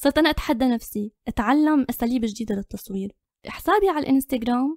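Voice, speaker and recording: In a dry, close recording with no echo, a woman speaks at a moderate pace, her high pitch carried by lively intonation. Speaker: photographer and content creator. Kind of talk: interview.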